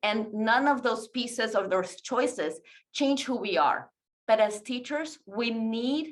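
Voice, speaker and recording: Fairly high pitch from a woman, with ordinary variation in pitch. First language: not English. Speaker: teacher presenting a webinar. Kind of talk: webinar presentation.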